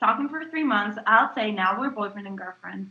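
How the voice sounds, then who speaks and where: A bright, sharp tone with lively intonation. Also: woman. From Italy, Calabria. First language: Italian. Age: 20s. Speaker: interviewee. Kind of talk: interview. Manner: hesitant, many fillers.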